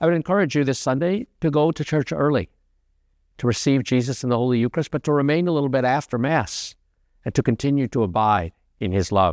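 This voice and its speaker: Talking at a very fast pace, a man with an American accent uses lively intonation at a medium pitch. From United States. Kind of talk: homily.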